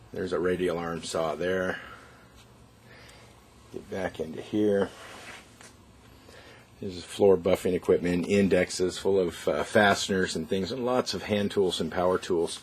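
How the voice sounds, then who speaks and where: Someone with an American accent speaks with fairly even intonation and long, frequent pauses. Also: man, very deep, low pitch for a man. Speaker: auctioneer. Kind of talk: walkthrough preview of estate auction items to camera. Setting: on location at estate sale. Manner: casual, conversational.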